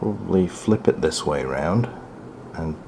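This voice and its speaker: A man at a fairly slow pace, with ordinary pitch variation and noticeable background noise. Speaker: toy reviewer. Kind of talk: product review while building a model kit. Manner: quiet while concentrating; bursts into excited loudness.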